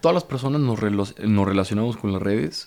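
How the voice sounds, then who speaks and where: On a very clean recording with a silent background, a man talks in a dark, mellow tone. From Mexico, Torreón. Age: 30s. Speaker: motivational speaker and author. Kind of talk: casual chat.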